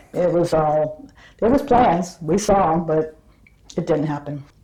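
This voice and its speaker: A woman with an American accent speaks in a fairly low pitch with ordinary pitch variation. Noticeable background noise sits behind her. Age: 70s. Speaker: retired airport operations employee. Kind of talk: interview answer, oral history.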